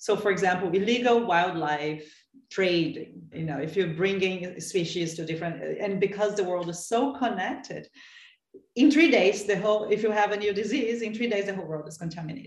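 A woman speaks at a medium pitch and a fairly quick pace in a Portuguese accent. Her loudness swings widely while her pitch varies in an ordinary way. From Brazil, São Paulo. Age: 30s. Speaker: sustainability researcher and advocate. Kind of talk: interview. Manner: halting.

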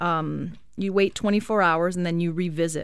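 Against a silent background in a very clean recording, a woman with a plain, everyday voice speaks at a fairly low pitch with fairly even intonation. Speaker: chiropractor. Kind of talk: radio interview, casual chat. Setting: studio.

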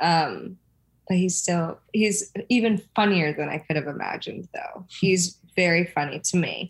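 Somewhat breathy and fairly low in pitch, a woman speaks at a fairly slow pace with ordinary pitch variation. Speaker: reality TV personality. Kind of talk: casual chat.

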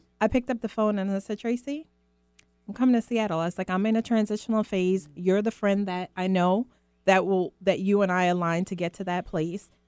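In a plain, everyday voice, a woman talks at a fairly quick pace with fairly even intonation, recorded with a dry, close sound and no echo. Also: medium pitch for a woman. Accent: American. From Guyana, raised in the US from age five. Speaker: mother, guest. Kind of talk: casual chat.

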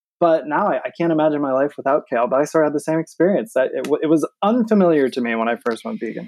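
With hardly any pauses, the speaker rushes along at a very fast pace in an American accent, with lively intonation. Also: man, fairly high pitch for a man. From Michigan. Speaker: vegan cookbook author and show host. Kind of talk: casual interview chat. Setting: remote call from home office.

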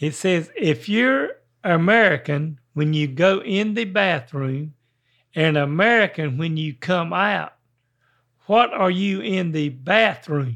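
Speaking very slowly with lively intonation, a man with a Carolinas accent has a high pitch. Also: quiet background. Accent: Southern US (Carolinas). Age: 70s. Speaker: podcast host. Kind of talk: casual chat.

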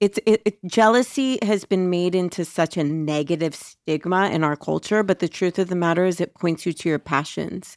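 A woman's ordinary speaking voice, fairly low in pitch, at a moderate pace with very even loudness, ordinary pitch variation and hardly any pauses, in a dry, close recording with no echo and a very clean, silent background. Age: 40s. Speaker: podcast co-host. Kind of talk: casual chat.

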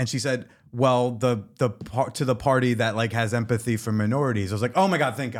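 A man with a plain, everyday voice and an American accent speaks at a fairly quick pace, with a medium pitch and ordinary pitch variation, in a very clean recording with a silent background. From New Jersey. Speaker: comedian and podcast host. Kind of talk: casual chat.

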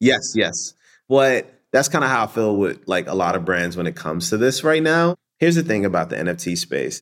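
Vocal fry and very wide pitch swings mark this fairly quick speech on a very clean recording with a silent background. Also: man, medium pitch for a man. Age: 30s. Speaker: marketing executive. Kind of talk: interview.

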